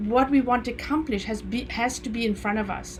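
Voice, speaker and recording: A woman with a Namibian accent speaks at a moderate pace. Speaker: e-commerce coach, show host. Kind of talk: casual chat.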